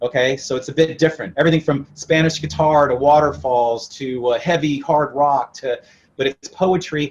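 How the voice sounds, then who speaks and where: Somewhat breathy, a man with a fairly high pitch speaks at a moderate pace with fairly even intonation and an American accent. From moved around: Italy, England, then US West. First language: Italian. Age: young. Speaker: rock musician. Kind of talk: interview.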